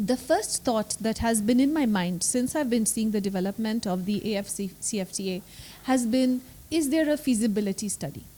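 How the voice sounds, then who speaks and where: A soft-spoken woman talks at a moderate pace with lively intonation. Her voice is fairly high, somewhat breathy, and dark and mellow in tone. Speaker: law professor. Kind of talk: panel discussion.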